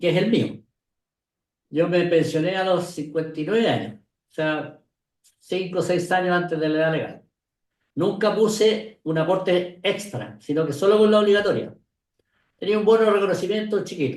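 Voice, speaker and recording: A man speaks at a moderate pace and high pitch, with ordinary pitch variation and long, frequent pauses. Audible room echo surrounds him. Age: 70s. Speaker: retired pension industry expert. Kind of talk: interview conversation.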